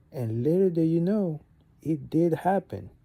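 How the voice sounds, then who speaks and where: Speaking in a French accent, a man with a dark, mellow tone talks at a moderate pace with lively intonation. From Gabon. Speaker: vlogger. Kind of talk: casual monologue.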